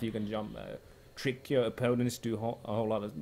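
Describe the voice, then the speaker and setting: At a fairly quick pace, a man talks in a medium pitch with vocal fry. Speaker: Dota 2 shoutcaster / streamer. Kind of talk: explaining hero picks and strategy. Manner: casual, hesitant, thinking aloud.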